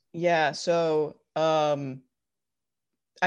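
This voice is a woman's. It sits very deep and low in pitch. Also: quiet background. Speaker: cosplayer and prop maker. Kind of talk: casual interview chat.

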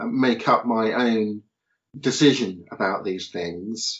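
A man at medium pitch with a southern English accent. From southern England (Portsmouth). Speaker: philosopher and author. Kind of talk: podcast interview.

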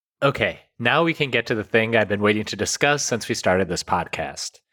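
A man's medium-pitched voice with an American accent, bright and sharp in tone, with ordinary pitch variation and a dry, close sound free of echo. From United States, Indian heritage. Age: 30s. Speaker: podcast host. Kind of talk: scripted narration and casual discussion.

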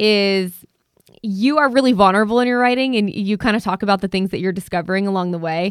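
A normal speaking voice from a woman with an American accent, medium in pitch, with ordinary pitch variation. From Arizona. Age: 30s. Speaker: podcast host. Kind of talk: interview conversation.

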